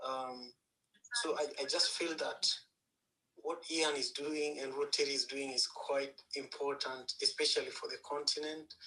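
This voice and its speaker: A man with a Kenyan accent, speaking at a fairly slow pace. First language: Luo. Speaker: panel guest. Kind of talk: panel discussion. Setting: live audio chat room.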